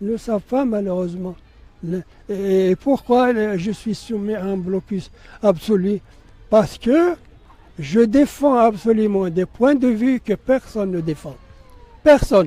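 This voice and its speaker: The voice has a dark, mellow tone and lively intonation, moving at a very slow pace with long, frequent pauses and big swings in loudness. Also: man, high pitch for a man. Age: 80s+. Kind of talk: interview. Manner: halting, repetitive.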